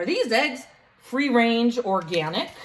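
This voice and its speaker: A put-on character voice from a woman, fairly high-pitched, at a fairly slow pace. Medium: read story. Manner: gruff, stern.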